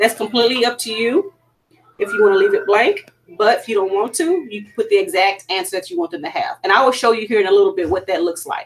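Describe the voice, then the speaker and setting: With a Louisiana accent, a woman talks at a very fast pace in a fairly high pitch, her voice making very wide pitch swings. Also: big swings in loudness. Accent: Louisiana Southern US. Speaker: PE teacher. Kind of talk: tutorial.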